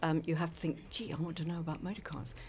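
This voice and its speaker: Somewhat breathy, a woman speaks at a fairly low pitch. Her pace is fairly quick. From South Africa, Cape Town. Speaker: former journalist and radio presenter. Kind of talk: interview.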